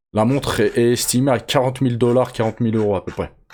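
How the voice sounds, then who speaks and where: A man's very fast speech in a dark, mellow tone with fairly even intonation, on a very clean recording with a silent background. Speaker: MMA news youtuber. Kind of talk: casual news commentary. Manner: casual, slangy, with hesitations.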